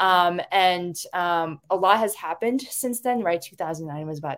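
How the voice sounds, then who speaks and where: In a plain, everyday voice, a woman with an American accent speaks at a moderate pace with ordinary pitch variation and big swings in loudness. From Washington State, US. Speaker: transgender rights advocate and national organizer. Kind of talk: interview answers. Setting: video call.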